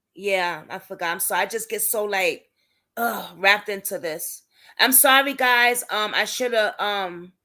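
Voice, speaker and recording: A woman with a medium-pitched voice speaks at a fairly slow pace, her tone animated, bright and sharp. The recording is very clean, with a silent background. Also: ordinary pitch variation. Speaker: YouTube commentator on police cases. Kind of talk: livestream chat reading viewer comments.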